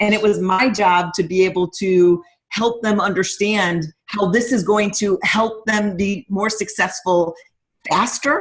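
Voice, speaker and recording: A somewhat breathy woman with an American accent speaks at a fairly slow pace, her intonation fairly even and her loudness very even. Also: medium pitch for a woman. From upstate New York, US. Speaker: fitness coach. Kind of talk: guest talk on a team call. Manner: trying to speak slower.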